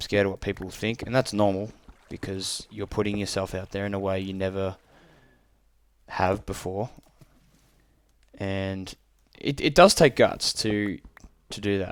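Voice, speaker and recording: A man at a fairly low pitch and moderate pace, fairly even in intonation, with big swings in loudness, long, frequent pauses, and a very clean recording with a silent background. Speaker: gaming youtuber giving advice. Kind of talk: casual voice-over commentary. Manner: hesitant, stumbling.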